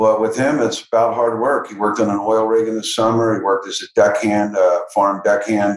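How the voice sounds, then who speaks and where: A man talks at a fairly quick clip with hardly any pauses and a monotone, flat intonation. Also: medium pitch for a man. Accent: American. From Philadelphia area, US. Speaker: entrepreneur and philanthropist. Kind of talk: interview.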